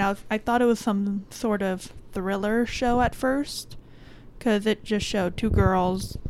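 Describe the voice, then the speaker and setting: In an American accent, a woman with a plain, everyday voice speaks at a moderate pace and fairly high pitch, with ordinary pitch variation and very even loudness. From Florida (Miami area). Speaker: podcast host. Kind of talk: casual chat.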